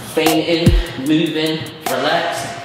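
At a fairly slow pace, the speech carries audible room echo, with music playing in the background. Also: man. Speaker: boxer instructor. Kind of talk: tutorial. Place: studio.

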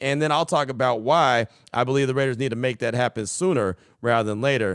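Against a quiet background, a man talks at a very fast pace in an animated tone, with ordinary pitch variation and a dry sound with no echo. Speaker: sports podcast host. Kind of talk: sports talk show. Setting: studio. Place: home room. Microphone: studio mic.

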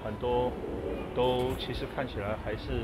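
Music in the background behind a man talking. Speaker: shopper vlogger. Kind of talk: casual vlog chat. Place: shop. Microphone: phone near.

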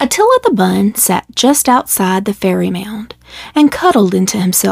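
In a natural voice, a passage is read aloud.

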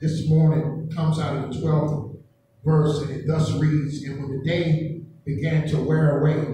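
A man speaks at a fairly slow pace in a flat, monotone intonation. Strong room echo and light background noise fill the recording. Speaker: preacher. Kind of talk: sermon. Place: church.

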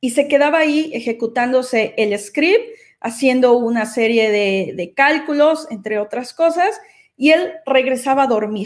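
A woman speaks at a fairly slow pace in a high pitch. The background is quiet. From Mexico, Xalapa, Veracruz; Veracruz, Mexico. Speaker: data engineer and AI doctor; conference speaker. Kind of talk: conference talk. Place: home room. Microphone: webcam.

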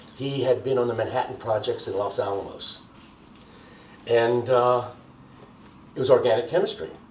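At a moderate pace, a man speaks with long, frequent pauses, audible room echo and light background noise. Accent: American. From US Northeast. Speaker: criminology professor. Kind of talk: oral history interview. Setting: filmed interview in Baltimore. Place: home room.

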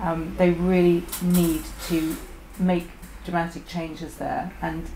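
A woman with a British accent is heard with audible room echo and light background noise. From UK. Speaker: engineer and business owner. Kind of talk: roundtable discussion. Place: shop.

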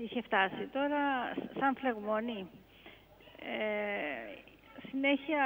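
Light background noise sits behind a woman's voice. Her pitch is fairly high, with ordinary variation. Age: 60s. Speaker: caller. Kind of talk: call-in question. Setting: phone call. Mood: concerned, explaining her symptoms. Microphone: phone line.

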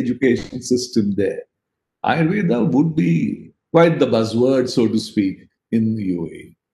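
The voice has a dark, mellow tone and lively intonation, moving at a moderate pace with audible room echo. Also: man. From India. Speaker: politician and business executive. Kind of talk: panel discussion. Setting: video call. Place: home room. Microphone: video call.

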